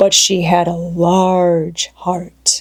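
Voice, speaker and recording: In a put-on character voice, a female-sounding speaker holds a fairly low pitch in a monotone, flat delivery. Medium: read story.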